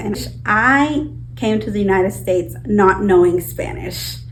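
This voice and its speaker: Audible room echo colors a woman's speech. Behind her, noticeable background noise persists. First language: Purepecha. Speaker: outreach worker. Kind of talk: documentary interview.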